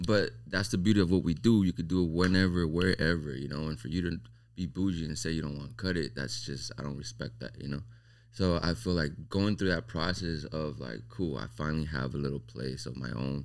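Vocal fry runs through a man's very deep, low voice, which carries lively intonation. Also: fairly quick pace. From Las Vegas, raised from Mexico. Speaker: barber. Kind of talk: casual chat.

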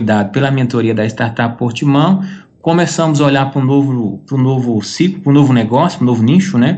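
A man uses an ordinary speaking voice at a medium pitch with ordinary pitch variation. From Brazil. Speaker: entrepreneur. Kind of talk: interview.

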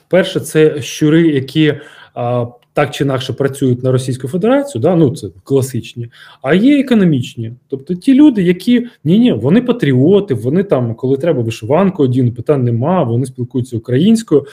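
At a moderate pace, a man speaks with a dark, mellow tone that is somewhat breathy. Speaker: former security service officer, security expert. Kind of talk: interview. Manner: halting, with filler sounds.

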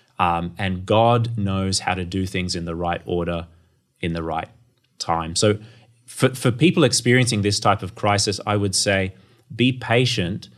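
A man with an Australian accent speaks at a fairly slow pace and a fairly low pitch. His pitch varies in an ordinary way on a very clean recording with a silent background. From North Queensland, Australia. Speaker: theology academic. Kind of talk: interview. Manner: halting, frequent repeated words.

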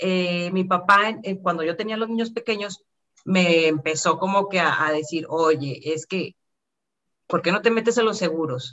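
A woman with an ordinary speaking voice and medium pitch speaks at a fairly slow pace with ordinary pitch variation. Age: 40s. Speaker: insurance advisor. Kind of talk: interview.

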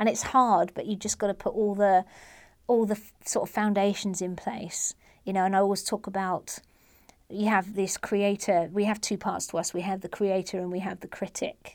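A woman's medium-pitched voice with an English accent, flat and monotone, on a very clean recording with a silent background. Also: moderate pace. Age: 40s. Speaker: comedian. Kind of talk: interview. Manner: halting.

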